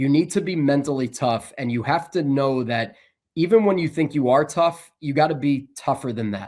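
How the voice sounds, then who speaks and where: This man has a plain, everyday voice, pitched fairly high, with an American accent. He keeps a moderate pace and ordinary pitch variation. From New Jersey, Bergen County. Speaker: sports broadcaster. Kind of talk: interview.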